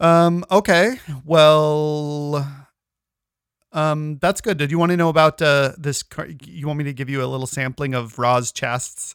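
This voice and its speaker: On a very clean recording with a silent background, a man speaks fairly slowly in an ordinary speaking voice, fairly high in pitch with ordinary pitch variation. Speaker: podcast host. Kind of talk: casual chat.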